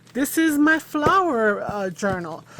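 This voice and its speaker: A woman with an American accent speaks at a fairly slow pace. Her intonation is lively. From New York, Long Island. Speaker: crafter and high school math teacher. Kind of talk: craft tutorial / walkthrough. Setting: home craft studio. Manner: casual, chatty with many fillers.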